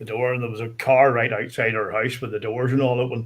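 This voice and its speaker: A man with a Northern Irish accent, medium in pitch, with fairly even intonation. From Northern Ireland. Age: 50s. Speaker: guest storyteller. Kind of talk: casual chat.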